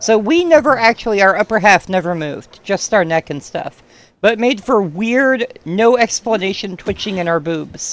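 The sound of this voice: This is an unforced reading voice. The speaker reads in it throughout.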